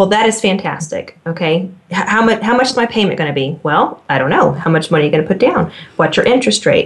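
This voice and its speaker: A woman's very fast, lively American-accented speech at a medium pitch, with very even loudness over noticeable background noise. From Oklahoma, Tulsa. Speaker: realtor. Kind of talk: casual chat.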